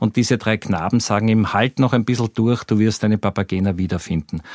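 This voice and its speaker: A man talks with ordinary pitch variation. The background is silent and the recording very clean. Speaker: journalist. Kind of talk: interview.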